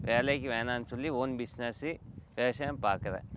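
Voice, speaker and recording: Here a man with a plain, everyday voice speaks at a medium pitch with fairly even intonation. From Tamil Nadu, Krishnagiri district. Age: 20s. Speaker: farmer and nursery owner. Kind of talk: interview.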